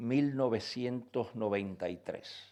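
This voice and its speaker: The recording is very clean, and the background is silent. A man talks at a very slow pace, his pitch varying in an ordinary way. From Cuba. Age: 70s. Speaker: professor. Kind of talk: lecture. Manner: animated.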